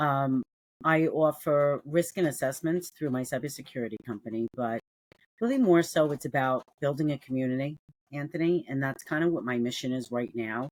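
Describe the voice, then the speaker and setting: A woman with a New York accent speaks in a very deep, low pitch with ordinary pitch variation, the sound dry and close with no echo. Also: moderate pace. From New York City. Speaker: cybersecurity entrepreneur. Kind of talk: casual interview. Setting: remote call. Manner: animated.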